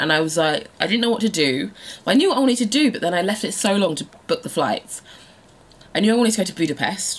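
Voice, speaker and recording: Lively in intonation, a woman talks at a very fast pace. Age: 30s. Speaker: lifestyle blogger and vlogger; lifestyle blogger, vlogger. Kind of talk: casual vlog monologue. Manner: chatty, laughing often. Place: home room. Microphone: phone near.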